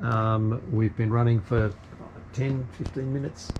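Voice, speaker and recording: A man talks over noticeable background noise. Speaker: sailing vlogger. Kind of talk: casual demonstration vlog. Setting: aboard a sailing yacht. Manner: halting, many fillers; soft-spoken.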